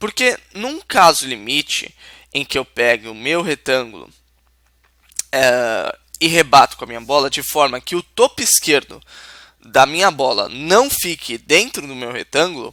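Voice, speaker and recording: A man speaks fairly slowly with long, frequent pauses, in a bright, sharp tone with lively intonation and big swings in loudness, the sound dry and close with no echo. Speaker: programming teacher. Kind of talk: tutorial.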